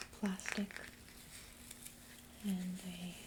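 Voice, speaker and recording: Whispering and soft-spoken, a woman talks at a very slow pace over noticeable background noise. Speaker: ASMR creator. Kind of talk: ASMR product showcase, soft spoken talk to camera. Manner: soft-spoken, whispering.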